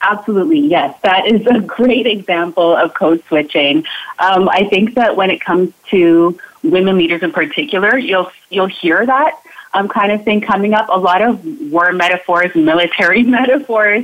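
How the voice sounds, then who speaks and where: An ordinary speaking voice with lively intonation, very even loudness and a moderate pace. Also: woman, medium pitch for a woman. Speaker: inclusion coach. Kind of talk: radio interview, explanatory.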